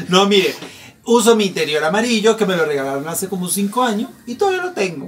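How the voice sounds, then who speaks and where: A man with a high voice talks at a very fast pace in an animated tone, his pitch varying in an ordinary way, with noticeable background noise behind him. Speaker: podcast host. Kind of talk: casual chat.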